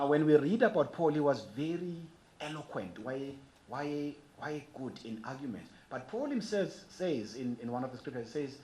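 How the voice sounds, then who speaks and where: Delivered at a moderate pace with lively intonation, the speech has big swings in loudness and audible room echo. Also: man. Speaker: archbishop, preacher. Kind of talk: sermon.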